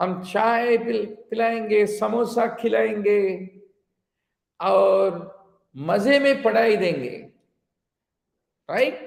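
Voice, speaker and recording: A man with a Telugu accent speaks at a very slow pace, leaving long, frequent pauses. His pitch is high for a man with ordinary variation, and the room echo is audible. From India, Telugu-speaking region. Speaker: physician and exam coaching teacher. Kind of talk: online lecture mixing English and Hindi. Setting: live online class, teaching to camera.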